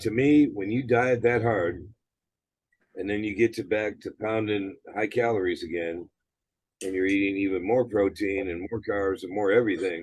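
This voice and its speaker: A man with an American accent talks at a moderate pace in an unremarkable speaking voice. His pitch is fairly low and his intonation fairly even. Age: 60s. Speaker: gym owner and former bodybuilder. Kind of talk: interview.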